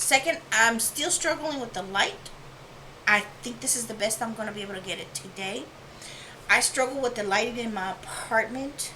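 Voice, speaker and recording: Mumbling at a moderate pace, a woman with a fairly high pitch and ordinary pitch variation swings widely in loudness, with audible room echo and noticeable background noise. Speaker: art channel creator. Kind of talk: tutorial. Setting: home studio apartment. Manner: whispering. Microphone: new lapel microphone.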